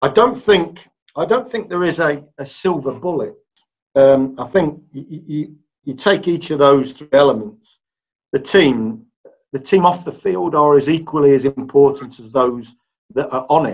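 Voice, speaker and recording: Speaking at a fairly slow pace in an East Midlands accent, a man with a fairly high pitch uses lively intonation and big swings in loudness. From Leicester, England. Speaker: sports club chief executive. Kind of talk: podcast interview.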